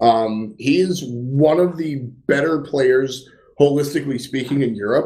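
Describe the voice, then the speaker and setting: Slightly slow in pace, a man talks in a dark, mellow tone at a fairly high pitch with ordinary pitch variation. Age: 20s. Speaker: esports podcast co-host. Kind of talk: casual chat. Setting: home.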